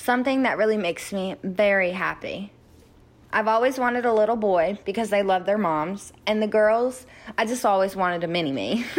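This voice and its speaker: Here a woman speaks with a North Carolina accent. Her pitch varies in an ordinary way. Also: medium pitch for a woman, moderate pace. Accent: North Carolina American. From US South. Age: 20s. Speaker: adoptee sharing her story.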